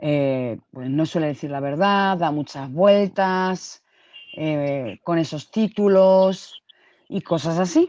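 In a dry sound with no echo and a quiet background, a woman speaks very slowly in a fairly low pitch and a dark, mellow tone with ordinary pitch variation. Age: 30s. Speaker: YouTube live-stream host. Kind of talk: casual live-stream gossip chat. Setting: at home. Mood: emotional, reproachful. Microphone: video call.

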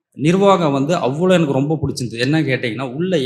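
A man uses a plain, everyday voice with ordinary pitch variation. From Puducherry. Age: 30s. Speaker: course participant. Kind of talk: testimony.

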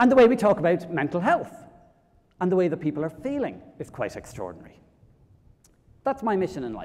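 A man with an Irish accent, high-pitched and lively in intonation. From Ireland, County Kilkenny; Ireland. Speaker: public speaker on mental health; public speaker. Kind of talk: conference talk. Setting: stage with audience. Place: hall.

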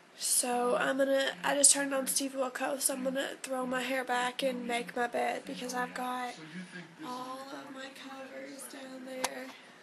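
Against noticeable background noise, a woman speaks with a high pitch and monotone, flat intonation at a fairly slow pace. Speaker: vlogger. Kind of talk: casual vlog.

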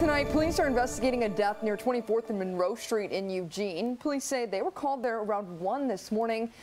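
Noticeable background noise sits behind a woman speaking at a very fast pace in a fairly high pitch with ordinary pitch variation. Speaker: TV news anchor. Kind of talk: TV news anchor read. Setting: studio.

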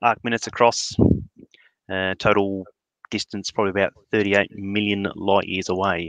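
Speaking in an Australian accent, a man uses a fairly low pitch in a dry, close sound with no echo. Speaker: astrophotographer. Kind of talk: casual chat. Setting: video call.

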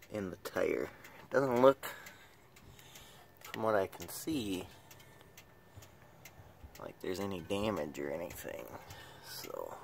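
Long, frequent pauses break up this fairly slow delivery, with light background noise underneath. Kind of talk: casual vlog chat. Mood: amused, relaxed. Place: street. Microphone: phone near.

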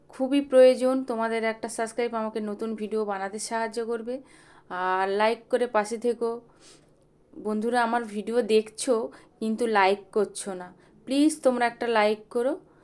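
The speaker has an unremarkable speaking voice with fairly even intonation. The recording is very clean, with a silent background. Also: woman, fairly high pitch for a woman. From West Bengal, South 24 Parganas (Sundarbans). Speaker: vlogger and goat farmer. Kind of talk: casual vlog narration. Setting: goat shed on farm.

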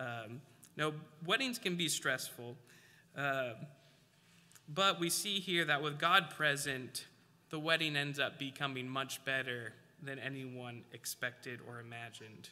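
With a bright, sharp tone and fairly high pitch, a man speaks at a fairly slow pace with long, frequent pauses. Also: ordinary pitch variation. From Alaska. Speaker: preacher. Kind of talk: sermon. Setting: church. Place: church.

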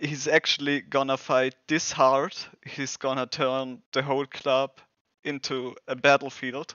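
A man with a German accent speaks at a fairly slow pace and medium pitch, his bright, sharp tone showing little pitch movement in a dry, close sound with no echo.

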